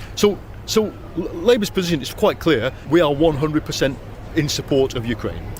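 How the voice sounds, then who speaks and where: Lively intonation marks this man's fairly high voice with an English accent, delivered at a moderate pace amid noticeable background noise and audible room echo. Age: 60s. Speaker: journalist and author. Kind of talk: interview. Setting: political party conference.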